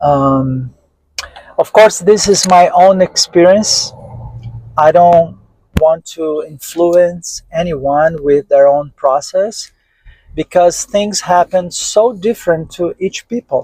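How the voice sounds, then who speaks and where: The speaker has a Portuguese accent and a very slow pace, with ordinary pitch variation. The sound is dry and close, with no echo. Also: man, high pitch for a man. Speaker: interviewee on UFO experiences. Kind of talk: interview testimony. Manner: halting, with frequent fillers.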